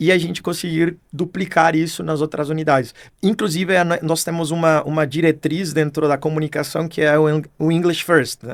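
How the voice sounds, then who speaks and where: A man with a non-native accent and a fairly high pitch talks at a moderate pace in a monotone, flat way, with hardly any pauses. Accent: foreign accent in Portuguese. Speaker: marketing executive. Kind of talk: podcast interview. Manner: hesitant, many fillers.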